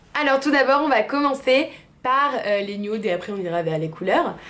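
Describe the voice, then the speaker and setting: A woman speaks at a high pitch, with audible echo from the room. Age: 20s. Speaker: beauty vlogger. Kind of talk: product review. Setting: bathroom. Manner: casual with frequent hesitations.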